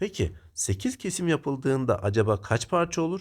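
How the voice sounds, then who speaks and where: A somewhat breathy man's voice with very wide pitch swings, on a very clean recording with a silent background. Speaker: math teacher. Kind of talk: tutorial.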